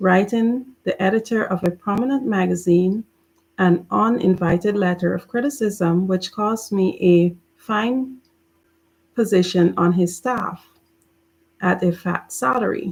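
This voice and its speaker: A woman speaks at a fairly slow pace, her voice somewhat breathy. Her pitch sits in the medium range with ordinary variation. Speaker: book club host. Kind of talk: reading aloud. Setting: live stream. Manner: whispering at times.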